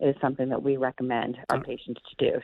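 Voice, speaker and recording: Pitched very low and deep for her sex, a woman delivers her words rather quickly. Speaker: physician, medical director of primary care. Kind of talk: radio interview answer about telehealth. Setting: morning radio show interview.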